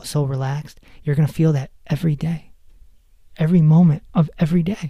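His tone is dark and mellow and somewhat breathy. The man talks at a fairly quick pace. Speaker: spiritual podcast host. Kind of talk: solo talk on spirituality. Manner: animated, laughs often.

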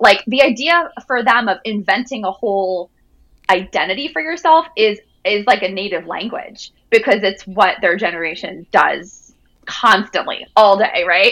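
With a bright, sharp tone and lively intonation, a woman talks at a moderate pace and a medium pitch. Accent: American. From Jersey Shore, New Jersey. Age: 30s. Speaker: author. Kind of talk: interview.

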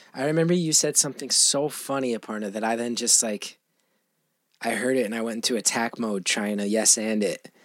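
At a fairly quick pace, a man speaks in a normal speaking voice with ordinary pitch variation. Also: medium pitch for a man. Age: 40s. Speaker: comedian and actor. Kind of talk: casual chat.

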